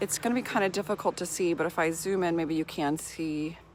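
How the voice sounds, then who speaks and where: A woman speaks with ordinary pitch variation. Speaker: gardening vlogger. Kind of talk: casual garden tour vlog. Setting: outdoors in her garden. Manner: fast-talking; filler-heavy, hesitant.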